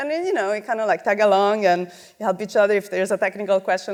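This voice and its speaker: A woman speaks with an Italian accent at a fairly high pitch. Her pitch varies in an ordinary way. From Italy. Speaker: multimedia director and artist. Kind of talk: conference talk. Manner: casual, many fillers.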